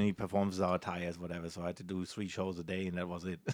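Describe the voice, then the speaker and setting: A man with a German accent is heard on a very clean recording with a silent background. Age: 40s. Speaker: magician. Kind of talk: interview. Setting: cruise ship.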